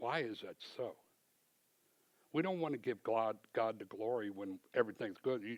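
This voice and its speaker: A man's medium-pitched voice at a moderate pace, with ordinary pitch variation and a dry, close sound with no echo. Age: 60s. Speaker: church member giving testimony. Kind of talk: testimony. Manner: conversational.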